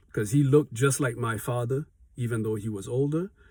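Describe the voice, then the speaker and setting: The voice has a dark, mellow tone and is somewhat breathy, captured on a very clean recording with a silent background. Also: man. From Haiti. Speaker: small business owner, vlogger. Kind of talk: motivational vlog talk. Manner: conversational, with fillers and self-corrections.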